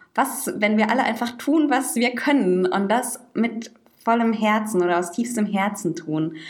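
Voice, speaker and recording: With audible room echo, a woman speaks fairly slowly at a fairly high pitch, her loudness very even and her pitch variation ordinary. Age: 20s. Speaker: podcast co-host, social worker. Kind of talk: casual chat.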